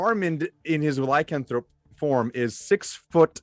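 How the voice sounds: A man speaks at a slow pace with a fairly high pitch and lively intonation. The sound is dry and close, with no echo.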